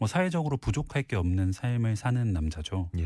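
A man speaks in a fairly low, somewhat breathy voice with a dark, mellow tone and lively intonation. The recording is very clean, with a silent background. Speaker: book columnist. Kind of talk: casual chat. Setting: studio.

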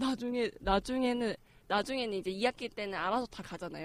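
A woman talks at a fairly quick pace in a fairly high pitch, her tone animated and her pitch variation ordinary. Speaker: podcast panelist. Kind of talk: casual chat.

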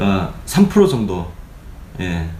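Fairly slow and with very wide swings in pitch, the man speaks as noticeable background noise goes on. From Gyeongsang region, South Korea. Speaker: political commentator, former journalist. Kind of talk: political commentary briefing. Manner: conversational, opinionated, fillers.

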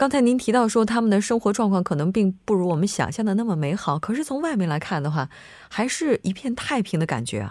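A woman's very fast speech at medium pitch, with very wide pitch swings, on a very clean recording with a silent background. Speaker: radio host. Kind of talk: radio show hosting. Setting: studio.

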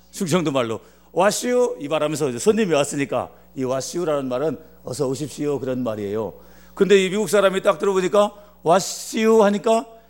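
A man talks at a fairly quick pace in a fairly high pitch, his voice making very wide pitch swings. Noticeable background noise runs behind him. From Korea, Chungcheong Province. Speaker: pastor. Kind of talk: sermon.

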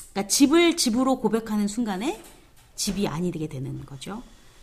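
Somewhat breathy, a woman's voice swings very widely in pitch. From South Korea. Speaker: theology professor. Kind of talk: lecture.

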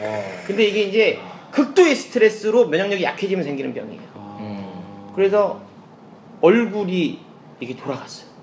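A man's high-pitched, animated voice with lively intonation, big swings in loudness, a fairly quick pace and long, frequent pauses, over noticeable background noise. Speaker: comedian. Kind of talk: casual chat, personal testimony.

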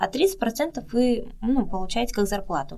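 The woman here speaks in a fairly high pitch. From Russia. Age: young. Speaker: model and performer living abroad. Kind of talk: interview.

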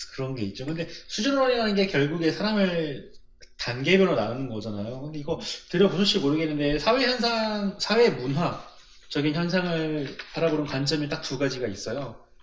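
A man speaks in a fairly high voice at a moderate pace, with very wide pitch swings. Audible room echo surrounds the recording. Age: 20s. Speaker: podcast co-host. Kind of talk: casual chat.

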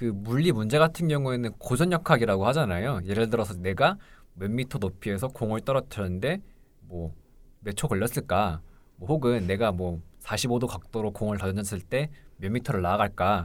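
In a plain, everyday voice, a man with a fairly low pitch and lively intonation speaks at a moderate pace on a very clean recording with a silent background. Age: 20s. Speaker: pharmacy school applicant, student. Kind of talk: casual chat.

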